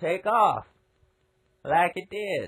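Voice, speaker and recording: This is a put-on character voice that sounds female. It is loud. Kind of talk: cheesy TV commercial. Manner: loud, manic, overexcited.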